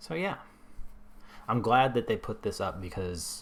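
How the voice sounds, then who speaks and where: A man talks in a somewhat breathy voice. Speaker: video game streamer. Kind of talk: gameplay commentary. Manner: hesitant, many fillers.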